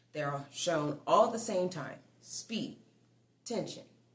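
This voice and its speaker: Calm in tone yet lively in intonation, the voice carries audible room echo. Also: woman. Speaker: braiding instructor. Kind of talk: tutorial. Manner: slow.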